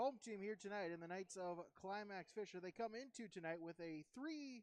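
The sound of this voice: A man with a high pitch talks at a moderate pace, his intonation lively.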